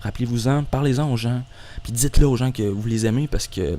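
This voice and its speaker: A man with a Quebec accent speaks at medium pitch in a dark, mellow tone. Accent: Québécois French. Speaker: YouTuber. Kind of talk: monologue. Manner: fast; halting.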